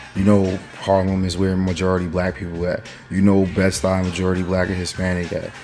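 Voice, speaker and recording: An animated, fairly quick delivery with an American accent, audible room echo and music in the background. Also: man, very deep, low pitch for a man. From New York (Mount Vernon). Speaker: political commentary vlogger. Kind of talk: casual opinion rant. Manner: animated, profanity-laden, frequent fillers.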